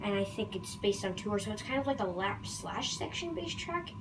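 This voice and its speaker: Noticeable background noise and audible room echo accompany a woman talking at a fairly quick pace. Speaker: gaming youtuber. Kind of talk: video game commentary. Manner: halting, with many fillers.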